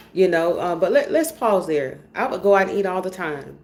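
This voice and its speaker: A woman with a Georgia accent talks in an animated tone. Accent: Georgia Southern. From US South, rural Georgia. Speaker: vlogger. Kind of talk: casual personal vlog monologue. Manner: animated, chatty.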